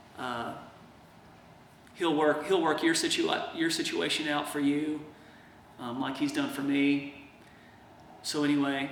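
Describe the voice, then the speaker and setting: A man's fairly high-pitched, monotone, flat delivery, with audible room echo and noticeable background noise. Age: 30s. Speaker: patient video blogger. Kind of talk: video diary monologue. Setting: in his workshop. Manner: slow; casual, hesitant.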